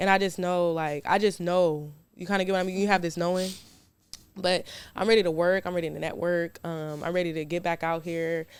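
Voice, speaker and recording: In a very clean recording with a silent background, a woman with a fairly low pitch talks at a fairly quick pace. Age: 20s. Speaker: reality star and entrepreneur. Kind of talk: casual chat. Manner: animated.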